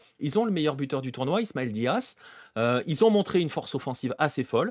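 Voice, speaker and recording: The recording is very clean with a silent background, and a man's fairly high voice, dry and close with no echo, swings very widely in pitch. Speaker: football show host. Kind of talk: livestream football analysis. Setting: livestream. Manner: fast; animated.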